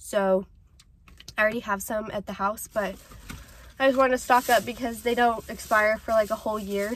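The intonation stays monotone and flat. Light background noise runs under a dry sound with no echo. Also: woman. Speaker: vlogger. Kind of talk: casual vlog chat. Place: car. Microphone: phone near.

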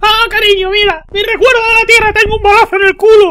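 A put-on character voice races along at a very fast pace. It is squeaky and extremely high-pitched. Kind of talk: spoken to a wife. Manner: comic, cheerful.

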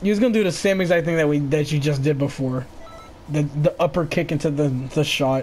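This man's voice sits fairly high, with an animated tone and ordinary pitch variation. He talks at a fairly quick pace and very even loudness over noticeable background noise. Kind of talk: casual gaming chat. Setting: online voice chat while gaming. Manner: animated, trash-talking.

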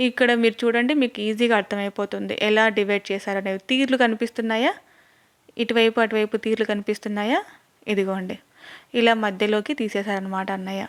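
A woman speaks in a fairly high pitch with fairly even intonation. The recording is very clean and dry, close with no echo and a silent background. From Rayalaseema, Andhra Pradesh. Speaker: YouTube vlogger. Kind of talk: home tour vlog. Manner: chatty, addresses viewers directly.

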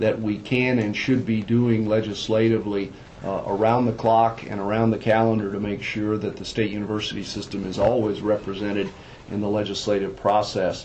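A man speaks at a moderate pace in a fairly low pitch, his intonation monotone and flat, with light background noise. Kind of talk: meeting report. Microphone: phone line.

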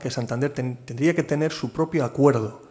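A man's fairly high voice with a dark, mellow tone, very fast in pace, with ordinary pitch variation. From Cantabria, Spain. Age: 50s. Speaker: port authority president. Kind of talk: keynote talk and Q&A at business forum. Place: hall. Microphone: podium.

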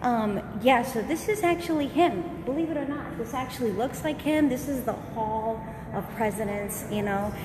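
Over noticeable background noise, a woman with a high-pitched voice speaks at a moderate pace. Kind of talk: casual live-stream chat. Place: hall. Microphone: phone near.

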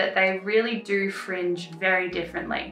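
A woman at a moderate pace, with audible room echo and faint music in the background. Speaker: craft tutor. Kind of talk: tutorial. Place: home room.

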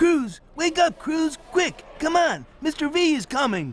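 A high-pitched cartoonish character voice speaks at a fairly slow pace. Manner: urgent, cheerful.

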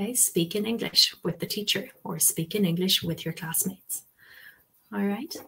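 The voice carries an Irish accent and ordinary pitch variation. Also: woman. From Ireland. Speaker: English language teacher and webinar presenter. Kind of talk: webinar presentation. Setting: online webinar with live chat. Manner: hesitant, many ums and fillers. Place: home room. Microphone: webcam.

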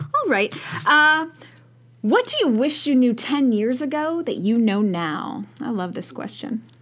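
Fairly slow delivery with very wide pitch swings, in an American accent. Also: woman, high pitch for a woman. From Chicago, US Midwest. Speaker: podcast host. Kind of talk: casual interview. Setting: radio studio. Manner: animated. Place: studio. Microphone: studio mic.

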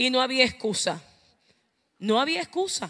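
Against a quiet background, a woman speaks in a raised, projected voice at a fairly slow pace. Her pitch is high and her tone bright and sharp. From Puerto Rico, eastern coast (Ceiba); Puerto Rico. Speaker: preacher. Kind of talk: sermon. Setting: church. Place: church. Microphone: handheld.

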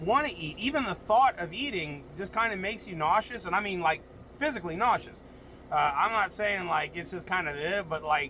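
A man speaks in a raised, projected voice at a moderate pace over light background noise. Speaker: truck driver vlogger. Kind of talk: casual vlog chat. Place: car. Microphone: phone near.

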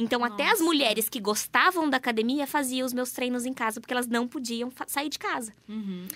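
The speaker moves at a moderate pace with ordinary pitch variation over a quiet background. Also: woman. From Paraná, Brazil. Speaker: influencer and mother; influencer. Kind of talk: radio interview. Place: studio.

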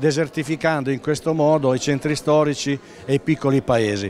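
A man with a fairly high pitch talks at a moderate pace with ordinary pitch variation. The sound is dry with no echo, over light background noise. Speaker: business association director. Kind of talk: interview statement. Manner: formal. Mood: earnest, advocating. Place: hall. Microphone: handheld.

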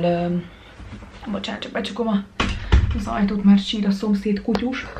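Light background noise sits behind a woman speaking at a moderate pace. Her pitch varies in an ordinary way. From Hungary, Szeged; Hungary. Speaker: vlogger. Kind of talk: casual vlog talk to camera. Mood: relaxed, calm after day. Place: home room. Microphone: phone near.

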